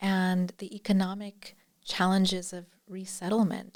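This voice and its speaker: A woman with an American accent speaks in a normal speaking voice at a medium pitch. Her pace is fairly slow and her intonation fairly even. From United States. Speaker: anthropology professor. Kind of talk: interview.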